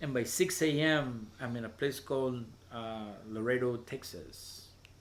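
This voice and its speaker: There is audible room echo as a man talks at a very slow pace. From Veracruz, Mexico. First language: Spanish. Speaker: poet and open mic host. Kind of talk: interview. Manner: halting, many repetitions.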